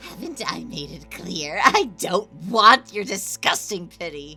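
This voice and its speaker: With clear music in the background, a female-sounding, put-on character voice speaks fairly slowly at a medium pitch. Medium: dub. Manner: mocking, contemptuous.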